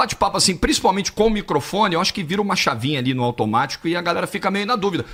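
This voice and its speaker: A man with a Carioca accent talks at a very fast pace in a high voice, his intonation lively over noticeable background noise. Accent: Carioca, from Rio. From Rio de Janeiro, Brazil. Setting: microphone, podcast or chat.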